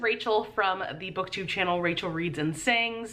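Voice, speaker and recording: A woman speaks at a moderate pace. Audible room echo and noticeable background noise surround her. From Louisiana, New Orleans area. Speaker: booktuber. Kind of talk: casual video monologue.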